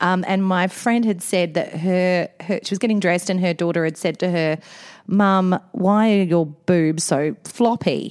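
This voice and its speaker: A woman's medium-pitched voice in an Australian accent, very even in loudness and fairly slow. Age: 40s. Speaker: podcast co-host, mother. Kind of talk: casual chat. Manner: animated.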